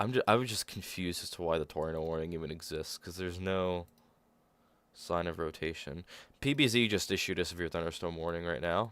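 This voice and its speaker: On a very clean recording with a silent background, a man with a very deep, low pitch talks at a fairly quick pace with ordinary pitch variation. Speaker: weather streamer. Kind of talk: live weather coverage. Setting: livestream with webcam. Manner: halting, stuttering.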